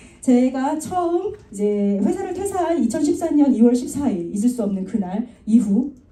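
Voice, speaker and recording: Audible room echo carries a woman's high-pitched voice as it moves through very wide pitch swings. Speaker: network marketing speaker. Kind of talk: motivational talk. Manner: fast.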